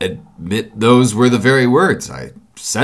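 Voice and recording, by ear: A voice is reading aloud in a natural voice. Its intonation remains fairly even.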